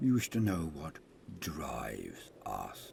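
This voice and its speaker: A man's put-on character voice, growling, with very deep, low pitch, very wide pitch swings and a very slow pace, over clear background noise. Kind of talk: solemn oath-taking declamation. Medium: solo performance. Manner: grave, fervent, declamatory.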